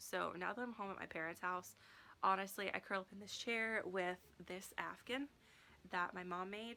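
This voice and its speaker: Long, frequent pauses break up a woman's bright, sharp tone. Her pitch shows ordinary variation. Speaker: book vlogger. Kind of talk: casual vlog, answering tag questions. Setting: home, seated in chair. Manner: hesitant, many fillers; soft-spoken.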